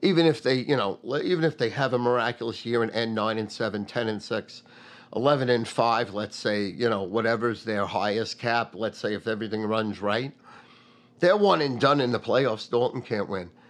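Man with an American accent, medium pitch, ordinary pitch variation, and a moderate pace. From New York, Long Island. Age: 50s. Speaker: sports betting podcast host. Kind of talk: casual monologue. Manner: animated.

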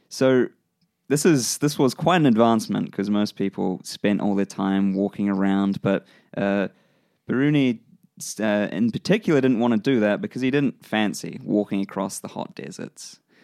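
With a New Zealand accent, a man speaks at a fairly low pitch with lively intonation, his voice dry and close with no echo in a very clean recording over a silent background. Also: moderate pace. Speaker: podcast host. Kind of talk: casual chat. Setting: studio.

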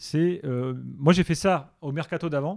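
A man's very slow, dark and mellow voice, fairly high in pitch, with a dry, close sound and no echo. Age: 40s. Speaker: football radio show host. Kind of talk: casual interview.

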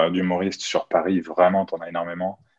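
A man's voice at a moderate pace. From France, Chartres area. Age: 30s. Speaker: professional magician. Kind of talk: casual interview. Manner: casual, hesitant with fillers.

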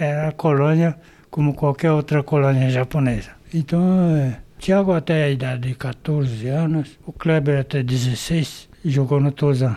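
Fairly high-pitched, a man speaks in a dark, mellow tone with fairly even intonation. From Brazil, São Paulo state. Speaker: retired agronomist, former baseball player. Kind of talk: interview, reminiscing. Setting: at home.

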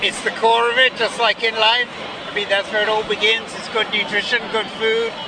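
A man speaks in a high pitch with monotone, flat intonation. Crowd noise fills the background. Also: moderate pace. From England. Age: 70s. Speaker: protester. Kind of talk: interview. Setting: outdoors.

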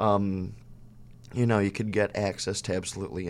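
A man's very deep, low voice with an American accent, vocal fry, ordinary pitch variation and a fairly quick pace. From Chicago. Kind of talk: casual interview chat.

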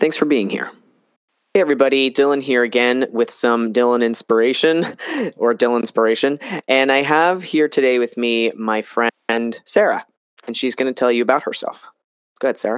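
Recorded dry and close with no echo, a man with an American accent talks at a moderate pace in a plain, everyday voice of medium pitch and ordinary pitch variation. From New Jersey. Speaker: podcast host and health coach. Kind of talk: casual interview chat.

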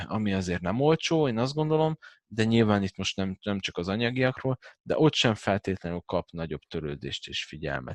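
Over a quiet background, a man with a fairly low pitch and very wide pitch swings is recorded dry and close with no echo. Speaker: massage therapist and former fitness coach. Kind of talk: casual chat.

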